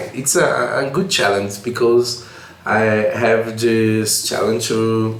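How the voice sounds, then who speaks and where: Speaking at a very slow pace and medium pitch, a man with a Portuguese accent is heard with room echo and noticeable background noise. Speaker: programming teacher. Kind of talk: tutorial. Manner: halting.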